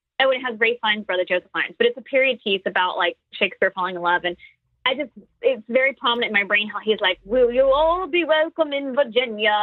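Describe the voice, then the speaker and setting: At a very fast pace, a woman with an American accent talks at a fairly high pitch and with lively intonation. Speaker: comedian. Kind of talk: interview. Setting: podcast. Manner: loud.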